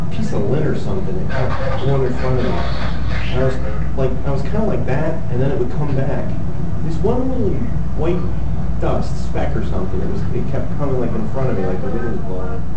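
A man at a moderate pace amid loud background noise and audible room echo. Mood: relaxed, joking. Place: home room. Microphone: camera far.

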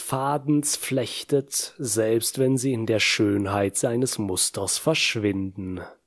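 A man's menacing, dramatic tone at a very slow pace, medium in pitch with ordinary pitch variation. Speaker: audiobook narrator. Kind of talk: dramatic scripted narration of a villain's monologue. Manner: slow, brooding, menacing, measured with dramatic pauses; theatrical, solemn and intense.

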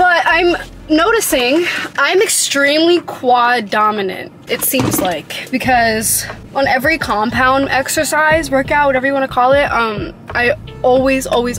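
Speech comes at a moderate pace over light background noise. The sound is dry, with no echo. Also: woman. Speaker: vlogger. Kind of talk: casual vlog chat. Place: car. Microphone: phone near.

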